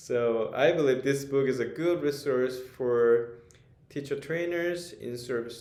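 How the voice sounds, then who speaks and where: A man's medium-pitched voice, very slow and fairly even in intonation, with audible room echo. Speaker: author and ESL teacher. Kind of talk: book presentation. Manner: hesitant, frequent fillers.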